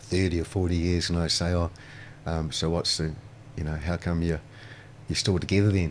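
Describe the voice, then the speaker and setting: Speaking at a fairly quick pace with a New Zealand accent, this man has a very deep, low pitch and fairly even intonation. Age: 60s. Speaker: restaurateur. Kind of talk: casual chat. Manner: halting.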